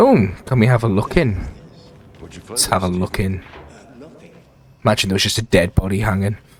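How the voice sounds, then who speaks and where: Quiet speech comes at a moderate pace with long, frequent pauses. Noticeable background noise sits underneath. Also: man, fairly low pitch for a man, ordinary pitch variation. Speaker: gaming YouTuber. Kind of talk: let's play commentary. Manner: quiet, lowered voice; casual, rambling.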